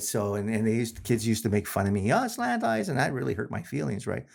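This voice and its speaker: Speaking at a fairly quick pace, a man is heard on a very clean recording with a silent background. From Winnipeg, Manitoba, Canada. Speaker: correctional system program facilitator, podcast guest. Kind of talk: interview answer, casual personal storytelling.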